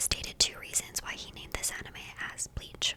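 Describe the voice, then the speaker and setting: Whispered female speech over noticeable background noise. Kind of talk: ASMR fact video, calm relaxing narration; casual chatty rambling with asides. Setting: close microphone, studio.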